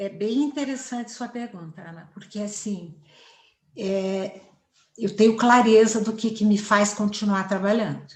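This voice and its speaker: A woman talks at a fairly slow pace in a medium pitch. Her intonation stays fairly even, while her loudness swings widely. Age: 60s. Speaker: family therapist. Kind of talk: interview. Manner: confident, fluent.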